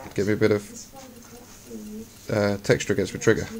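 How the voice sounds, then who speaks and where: Noticeable background noise under a man's fairly low-pitched voice at moderate speed. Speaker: air rifle hunter and video maker. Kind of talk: tutorial. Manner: casual; quiet.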